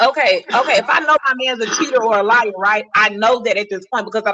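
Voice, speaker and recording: The voice is animated and very fast, with ordinary pitch variation. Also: woman. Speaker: podcast guest. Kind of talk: casual chat. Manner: loud.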